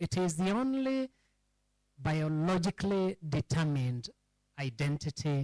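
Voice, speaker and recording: Against a quiet background, a man speaks with a Kenyan accent at a fairly slow pace. His voice is fairly high, with lively intonation. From Kenya, Rift Valley (Subukia). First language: Kikamba. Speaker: historian speaking at a public forum. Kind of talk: public lecture.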